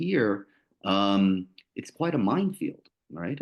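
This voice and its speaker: A man speaks with a New Jersey accent and a fairly low pitch. The background is quiet. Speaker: lawyer and arbitrator. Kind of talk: panel presentation. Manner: casual, many fillers and repetitions.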